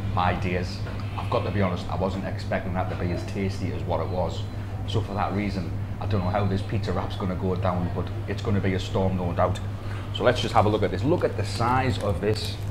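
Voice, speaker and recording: Noticeable background noise sits behind a man who speaks fairly quickly. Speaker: food vlogger. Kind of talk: casual food review vlog. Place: shop. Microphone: lapel.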